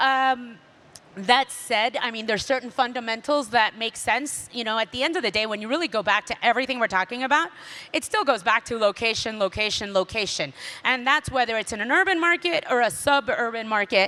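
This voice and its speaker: The speaker has a Miami accent. The pace is fairly quick. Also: woman, fairly high pitch for a woman, ordinary pitch variation. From Miami, Florida. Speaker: real estate developer. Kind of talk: panel discussion.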